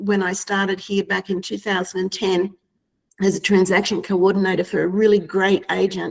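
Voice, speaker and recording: Here is a woman with an Australian accent. Her pitch sits in the medium range. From Australia (Queensland). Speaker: real estate agent. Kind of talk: webinar discussion.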